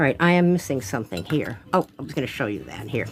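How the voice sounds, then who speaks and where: A woman speaks very fast with lively intonation over noticeable background noise. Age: 70s. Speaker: artist. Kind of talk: casual chat. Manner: chatty, thinking aloud.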